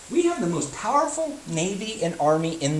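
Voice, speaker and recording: Fairly slow male speech amid noticeable background noise and audible room echo. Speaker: history teacher. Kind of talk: lecture.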